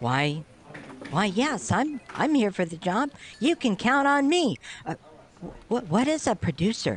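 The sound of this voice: A man's put-on character voice, high-pitched with big pitch swings, a slightly husky edge and a fairly slow pace.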